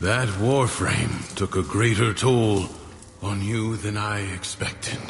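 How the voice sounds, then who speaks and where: A calm, fairly low-pitched put-on character voice from a man, fairly slow, over clear background noise. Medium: video game. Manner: calm, measured.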